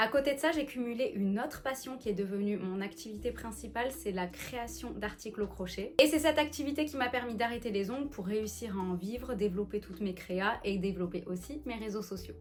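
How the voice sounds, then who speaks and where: Over music in the background, a woman with fairly high pitch and lively intonation speaks with hardly any pauses. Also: fairly quick pace. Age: 30s. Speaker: lifestyle vlogger. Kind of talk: casual vlog talk to camera. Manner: chatty.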